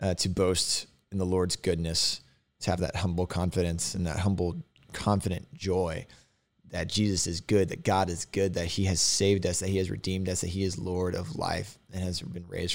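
In a Texan accent, a man with a very deep, low voice speaks at a fairly quick pace and fairly even intonation on a very clean recording with a silent background. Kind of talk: casual podcast with scripture reading and commentary. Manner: casual, chatty, self-deprecating, goes on tangents.

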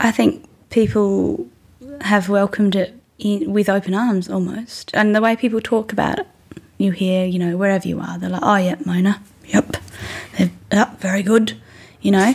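Over noticeable background noise, a woman with an Australian accent speaks at a moderate pace. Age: 20s. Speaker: musician. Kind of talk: interview. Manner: halting.

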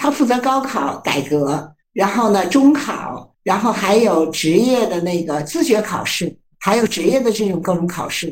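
Speaking at a fairly slow pace with hardly any pauses, a woman of medium pitch moves through very wide pitch swings. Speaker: psychology professor. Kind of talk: interview. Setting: remote video interview.

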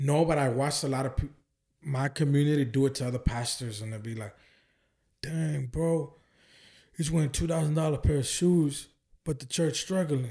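A somewhat breathy man with an American accent speaks at a moderate pace, with a fairly high pitch and ordinary pitch variation. Long, frequent pauses break up his speech against a quiet background. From Oakland, California. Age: 20s. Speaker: evangelist and ministry founder. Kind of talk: casual chat.

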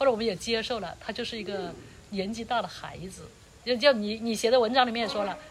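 A woman talks at a very fast pace with fairly high pitch, fairly even intonation and big swings in loudness. Noticeable background noise and audible room echo surround her. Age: 60s. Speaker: interviewee, host's aunt. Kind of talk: casual interview. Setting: outdoors, roadside in mountains. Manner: halting, repetitive.

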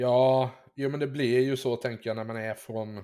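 Fairly even intonation and a dark, mellow tone mark this man's voice at a moderate pace. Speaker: podcast host. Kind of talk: casual interview chat.

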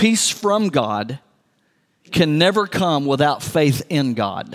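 A man talks with a West Texas accent. His pace is very slow, with very wide pitch swings. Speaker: pastor. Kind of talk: sermon.

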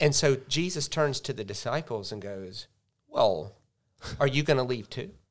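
An animated man with an American accent and a medium pitch speaks at a moderate pace, with lively intonation and big swings in loudness. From US South, Charleston, South Carolina. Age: 40s. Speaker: pastor. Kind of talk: casual interview. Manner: animated storytelling.

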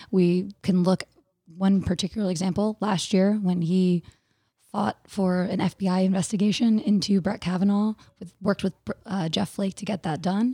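On a very clean recording with a silent background, a woman with a medium pitch and a dark, mellow tone speaks somewhat breathily at a moderate pace with fairly even intonation. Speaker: Senate candidate. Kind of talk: interview.

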